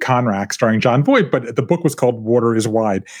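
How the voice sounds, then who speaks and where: With an American accent, a man speaks in a plain, everyday voice at a fairly quick pace. His pitch is medium, with ordinary variation. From US South, coastal Georgia (Savannah). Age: 50s. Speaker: author. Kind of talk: casual chat. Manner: laughs often.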